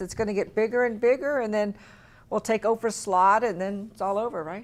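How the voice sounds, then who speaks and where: On a very clean recording with a silent background, a woman speaks in an ordinary speaking voice, pitched fairly high, at a fairly quick pace. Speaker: TV show host. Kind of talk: TV talk show hosting. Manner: upbeat.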